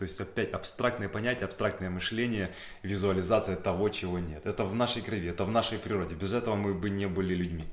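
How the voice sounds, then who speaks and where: The voice is a plain, everyday voice. It moves at a fairly quick pace with ordinary pitch variation. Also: man. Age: 30s. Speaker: actor. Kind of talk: interview monologue. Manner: casual, with frequent fillers.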